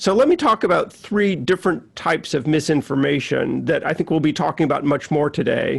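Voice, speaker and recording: A man with an American accent speaks at a fairly quick pace with hardly any pauses and very even loudness. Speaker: science journalist. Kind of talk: online talk and presentation. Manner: halting, many fillers and repeats.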